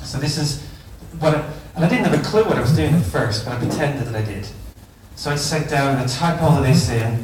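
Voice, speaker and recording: Amid noticeable background noise and audible room echo, a man with an Irish accent talks at a very fast pace, fairly high in pitch, with ordinary pitch variation. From Ireland. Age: 40s. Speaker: teacher. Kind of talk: conference talk.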